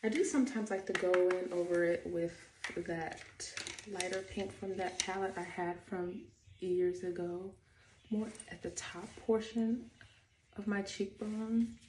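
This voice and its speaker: A soft-spoken woman whispers at a fairly slow pace, leaving long, frequent pauses. Noticeable background noise sits behind her. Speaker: beauty and fashion vlogger. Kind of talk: get-ready-with-me tutorial. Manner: soft, near whisper; casual, chatty.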